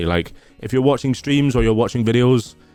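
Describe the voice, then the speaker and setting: A man with a slight Scottish accent speaks at a medium pitch. He moves at a fairly quick pace with music in the background. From Scotland. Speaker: streamer, former teacher. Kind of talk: casual Q&A video.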